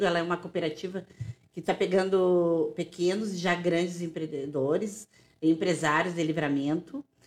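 Fairly low in pitch, a woman with an unremarkable speaking voice talks at a moderate pace with fairly even intonation. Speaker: podcast co-host. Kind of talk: casual interview, hosting.

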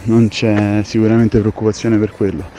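Noticeable background noise runs under the clip. A man talks at medium pitch and a fairly quick pace. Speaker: chef. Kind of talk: voice message monologue. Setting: recorded at home.

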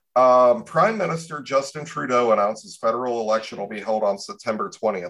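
A man with medium pitch speaks with an American accent. His pace is fairly quick, with hardly any pauses. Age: 30s. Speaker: podcast host. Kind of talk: casual chat. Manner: animated.

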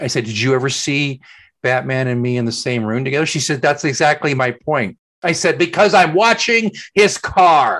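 A man with an American accent uses a normal speaking voice, fairly high in pitch, with lively intonation at a moderate pace against a quiet background. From Oklahoma. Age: middle-aged. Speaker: podcast co-host. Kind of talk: casual chat.

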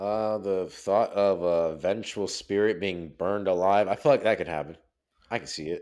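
At a moderate pace, a man speaks with a normal speaking voice. It sits fairly low in pitch with ordinary pitch variation, against a quiet background. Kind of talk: casual chat. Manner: casual, profane slang.

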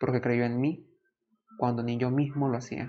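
Medium-pitched male voice. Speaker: podcast host. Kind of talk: storytime narration, personal testimony. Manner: earnest, emotional, nostalgic; emphatic, repetitive, motivational.

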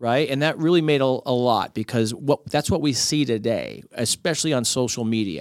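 An ordinary speaking voice with an American accent holds a very even loudness. The pace is moderate, with hardly any pauses and ordinary pitch variation. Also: man, medium pitch for a man. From Miami, Florida. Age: 40s. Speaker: podcaster and author, former sports journalist. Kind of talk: casual chat.

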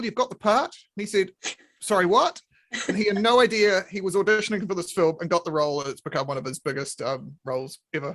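Talking very fast with lively intonation, a man with a New Zealand accent uses a high pitch, captured in a dry, close sound with no echo. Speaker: podcast host. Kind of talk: casual chat. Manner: animated.

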